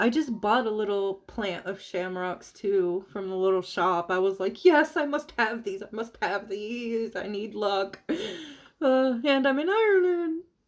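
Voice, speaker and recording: A woman with an American accent speaks at medium pitch. Her intonation is lively, and her pace is fairly slow. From US South (Florida, Georgia, Alabama). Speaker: witchcraft streamer. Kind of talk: casual chat. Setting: live stream.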